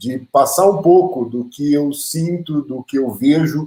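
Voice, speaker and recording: Pitch movement in this voice is ordinary. The tone comes across dark and mellow. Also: man. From interior of São Paulo state, Brazil. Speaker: teacher and speaker. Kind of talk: lecture.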